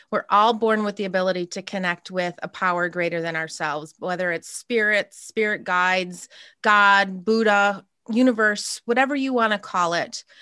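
Recorded dry and close with no echo against a quiet background, a woman with an American accent speaks at a moderate pace in a bright, sharp, medium-pitched voice with ordinary pitch variation. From upstate New York. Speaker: spiritual channeler and coach. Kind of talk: interview, casual chat.

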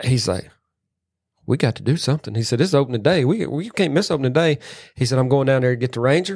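Over a very clean, silent background, a man speaks at a very fast pace. His medium-pitched voice has lively intonation. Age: 40s. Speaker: podcast host. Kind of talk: casual chat.

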